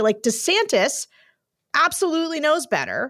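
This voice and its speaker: On a very clean recording with a silent background, a woman speaks with very wide pitch swings. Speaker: podcast host. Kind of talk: casual chat.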